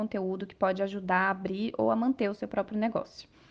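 A woman's ordinary speaking voice at a medium pitch, with fairly even intonation and a fairly quick pace. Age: 30s. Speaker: travel agency owner. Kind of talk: interview.

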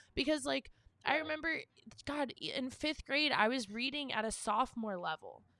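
A woman projects a raised, high-pitched voice with a bright, sharp tone. Her intonation is lively and her pace moderate. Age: 20s. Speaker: podcast co-host. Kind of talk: casual chat.

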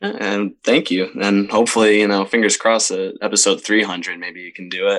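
Fairly even in intonation, this man talks at a fairly quick pace with a fairly low pitch. He has an unremarkable speaking voice and an American accent. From Upstate New York, Camillus near Syracuse. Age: 20s. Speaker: show promoter and musician. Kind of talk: casual interview chat.

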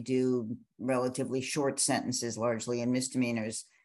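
A woman with an American accent speaks at a moderate pace in a very deep, low pitch and a monotone, flat intonation over a quiet background. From US Midwest, Chicago. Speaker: law professor and criminal defence lawyer. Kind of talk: interview.

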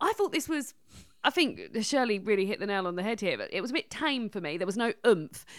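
Very wide pitch swings mark this fairly quick speech with an English accent, captured on a very clean recording with a silent background. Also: woman, fairly high pitch for a woman. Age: 30s. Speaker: podcast host. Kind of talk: casual chat.

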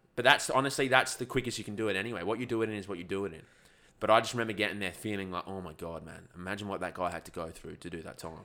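Very fast and bright, sharp in tone, a man speaks with an Australian accent at a fairly low pitch and ordinary pitch variation. The recording is very clean, the background silent. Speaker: ultra-endurance athlete and YouTuber. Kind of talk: casual chat.

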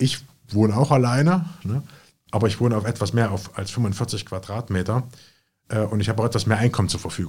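At a moderate pace, a man with a fairly low pitch talks in a somewhat breathy voice with ordinary pitch variation. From Jena, Thuringia, Germany. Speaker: real estate investor and company founder. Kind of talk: interview conversation.

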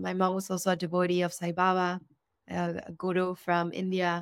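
Captured in a very clean recording with a silent background, a woman with a Spanish accent speaks at a medium pitch and a moderate pace in a monotone, flat intonation. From Argentina. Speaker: ceremonial cacao educator. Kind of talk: interview; guided blessing.

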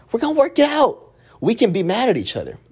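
An animated tone with very wide pitch swings in an American accent, over noticeable background noise. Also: man. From Texas, Dallas (Oak Cliff). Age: 20s. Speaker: podcast host. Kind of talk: casual monologue.

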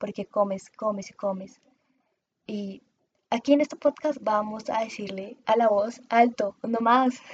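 With a somewhat breathy, fairly high voice, a woman speaks fairly slowly with fairly even intonation in a dry, close sound with no echo. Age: 20s. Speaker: podcast host and communications student. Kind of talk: solo podcast monologue.

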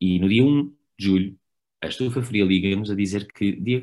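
Against a quiet background, a man talks at a fairly low pitch with ordinary pitch variation. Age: 30s. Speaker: actor. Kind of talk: casual chat.

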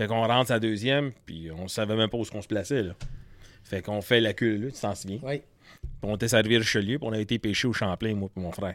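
A man with a Quebec accent, fairly low-pitched and fairly quick, on a very clean recording with a silent background. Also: ordinary pitch variation. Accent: Québécois French. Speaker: fishing pro-staffer. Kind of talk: casual chat.

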